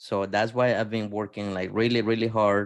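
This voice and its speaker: A man with an American accent speaks at a fairly low pitch in a monotone, flat intonation. The background is quiet. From outside the US. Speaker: podcast host. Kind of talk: podcast interview.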